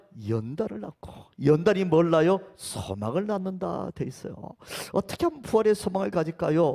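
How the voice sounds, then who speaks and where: Here a man speaks at a high pitch and a fairly slow pace. His intonation is lively. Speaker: pastor. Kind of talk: sermon.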